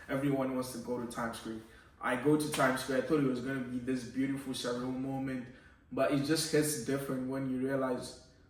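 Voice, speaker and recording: A man at a fairly quick pace with monotone, flat intonation, audible room echo and noticeable background noise. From Zimbabwe. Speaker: podcast guest, immigrant. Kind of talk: casual chat.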